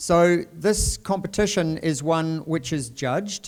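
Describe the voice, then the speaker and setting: A man is speaking. He has a New Zealand accent. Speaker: dean of graduate research. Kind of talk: formal event hosting speech. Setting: university event with audience.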